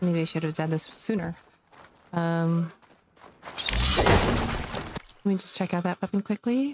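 A woman speaks very slowly with a fairly low pitch, ordinary pitch variation, and long, frequent pauses, over noticeable background noise. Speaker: gaming streamer. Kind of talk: gameplay commentary. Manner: halting, many fillers.

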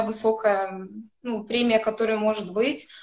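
Against a quiet background, a woman with a high-pitched voice speaks at a fairly slow pace. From Azerbaijan. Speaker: classical violinist. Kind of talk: interview. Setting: video call. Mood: calm, friendly storytelling. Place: home room. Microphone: video call.

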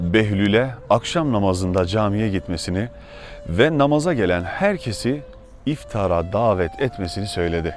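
A man's fairly low-pitched voice at a fairly slow pace, lively intonation, and music in the background. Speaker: theologian, preacher. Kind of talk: religious sermon.

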